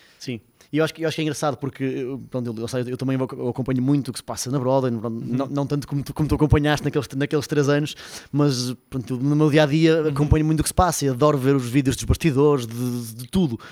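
The man's intonation stays fairly even at a medium pitch. He talks at a very fast pace. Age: 30s. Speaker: podcast host. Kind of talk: casual chat. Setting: studio.

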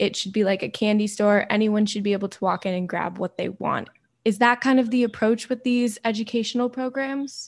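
A woman with a plain, everyday voice speaks at a fairly quick pace. Her pitch is fairly high and her intonation fairly even. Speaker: student podcast host.

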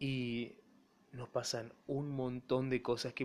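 A man is speaking. His pitch is medium. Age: 20s. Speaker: podcaster and broadcasting student. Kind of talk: solo monologue podcast.

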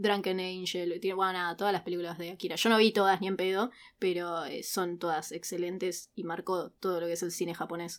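This voice moves at a fairly quick pace with monotone, flat intonation in a Rioplatense accent. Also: woman, medium pitch for a woman. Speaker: podcast co-host, university student. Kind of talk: casual chat.

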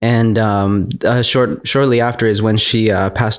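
A man with an American accent and an unremarkable speaking voice talks with fairly even intonation at a fairly low pitch. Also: very clean recording, silent background. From Texas. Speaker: pastor. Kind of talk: casual chat. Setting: home studio.

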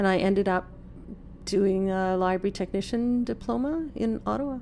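A woman speaks in a Canadian prairie accent. Her pitch is medium and her pace fairly slow. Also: very clean recording, silent background. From Saskatchewan, Canada (Saskatoon). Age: 50s. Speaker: early retiree, former library technician. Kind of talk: casual interview.

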